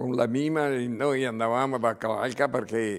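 A man is speaking. The background is quiet. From Padua, Veneto, Italy; Veneto, Italy. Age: 80s+. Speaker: former football club president. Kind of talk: interview. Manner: halting, repeating words. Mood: reminiscing, calm. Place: home room. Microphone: lapel.

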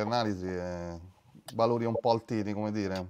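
A man speaks with light background noise behind him. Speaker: webinar moderator. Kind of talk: casual chat. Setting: video call. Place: home room. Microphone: video call.

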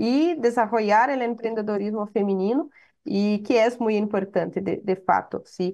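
Against a quiet background, a woman talks at a fairly slow pace. Her pitch is fairly high, with ordinary pitch variation. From Brazil, small town in Paraná. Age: 20s. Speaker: venture capital executive; panelist. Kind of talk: interview. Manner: halting, frequent fillers and self-corrections. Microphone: webcam.

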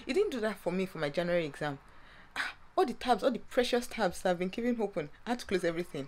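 A woman's voice rises and falls in very wide pitch swings. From Nigeria. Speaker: vlogger; university student. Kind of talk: casual vlog. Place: home room. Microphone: phone near.

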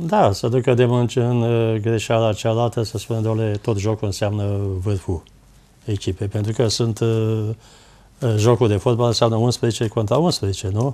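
A man speaks with a dark, mellow tone. His intonation stays fairly even. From Romania, Ploiești; Romania. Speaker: former footballer; guest, football commentator. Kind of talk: TV talk show interview. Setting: TV studio. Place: studio.

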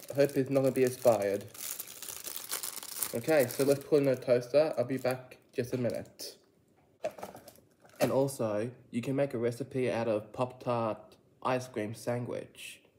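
Over noticeable background noise, a man with a medium-pitched voice speaks at a moderate pace in a monotone, flat intonation, pausing long and often. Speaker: food reviewer. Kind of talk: casual vlog review.

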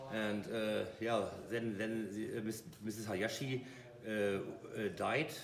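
Light background noise and audible room echo fill the recording. A man speaks at a very slow pace with a fairly low pitch. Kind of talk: informal sales explanation. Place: shop. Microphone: phone near.

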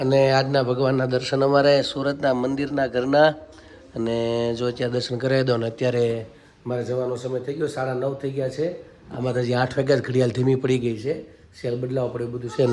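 A quiet, mumbling man with medium pitch and monotone, flat intonation. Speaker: family vlogger. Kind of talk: casual vlog narration.

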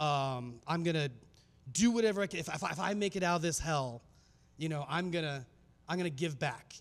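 A man with an American accent speaks at a fairly quick pace, with ordinary pitch variation and long, frequent pauses. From US Southwest, Phoenix, Arizona. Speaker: filmmaker and speaker; speaker. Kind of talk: conference talk. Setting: stage with audience. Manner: casual, many filler words. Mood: earnest, reflective storytelling. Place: hall. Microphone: handheld.

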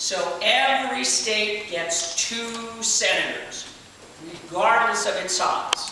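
Speech comes at a very slow pace. Strong room echo and noticeable background noise fill the recording. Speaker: tour guide. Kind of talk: guided tour talk. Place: hall. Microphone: camera far.

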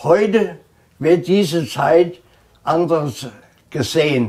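A fairly high-pitched man against a quiet background. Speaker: contemporary witness. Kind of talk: interview answer. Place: home room. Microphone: lapel.

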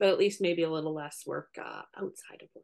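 The background stays quiet. Speech moves at a moderate pace. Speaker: co-host. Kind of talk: casual vlog chat. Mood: wry, self-deprecating. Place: home room. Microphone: video call.

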